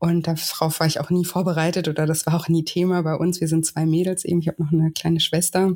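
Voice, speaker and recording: A woman speaks very fast with hardly any pauses, her fairly low, somewhat breathy voice dark and mellow in tone, with very even loudness and monotone, flat intonation. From southern Germany, Lake Constance and Westerwald. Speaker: weight-loss coach. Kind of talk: interview conversation.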